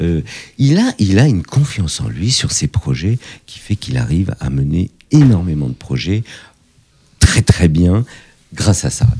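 This man's voice is very deep and low, with a dark, mellow tone and a somewhat breathy quality, and his pitch swings very widely. He speaks at a fairly slow pace with long, frequent pauses and big swings in loudness. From France, Paris suburbs (Fontenay-sous-Bois). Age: 50s. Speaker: entrepreneur. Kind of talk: interview. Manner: hesitant, many fillers.

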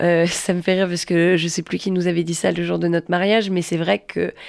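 In a very clean recording with a silent background, a woman with a plain, everyday voice speaks at a moderate pace and fairly low pitch, with fairly even intonation. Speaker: stage actress and director. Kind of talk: casual chat.

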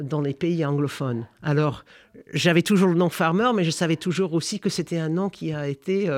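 In a very clean recording with a silent background, a man with an American accent talks at a moderate pace in a high pitch with ordinary pitch variation. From United States. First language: English (speaking French). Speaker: history professor. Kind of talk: interview. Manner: halting.

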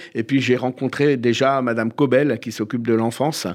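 With fairly even intonation and a moderate pace, an unremarkable speaking voice comes through a very clean recording with a silent background. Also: man. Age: 50s. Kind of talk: radio interview.

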